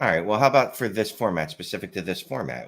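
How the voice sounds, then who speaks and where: In a Philadelphia accent with vocal fry, a man talks at a fairly quick pace with very wide pitch swings. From Philadelphia area, US. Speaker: fantasy football podcaster. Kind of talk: casual chat. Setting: live stream.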